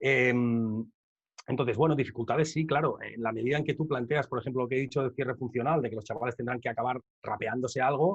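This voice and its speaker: A man's somewhat breathy, medium-pitched voice at a very fast pace, with fairly even intonation. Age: 30s. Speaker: rapper and educator. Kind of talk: conference Q&A.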